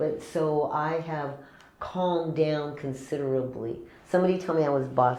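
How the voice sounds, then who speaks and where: Audible room echo surrounds a woman speaking at a moderate pace in a very deep, low pitch. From California. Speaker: chef and caterer. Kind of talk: casual interview chat. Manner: animated.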